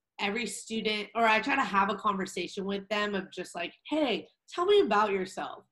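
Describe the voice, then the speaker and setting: A woman's fairly high voice in a Californian accent, with lively intonation at a moderate pace. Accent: Californian American English. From Southern California, Orange County. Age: 20s. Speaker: academic advisor for college athletes. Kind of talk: podcast interview.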